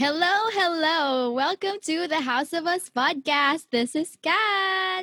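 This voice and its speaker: A raised, projected voice at a very slow pace with hardly any pauses, ordinary pitch variation and a dry, close sound with no echo. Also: woman, extremely high pitch for a woman. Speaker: podcast host and singer. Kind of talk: casual chat.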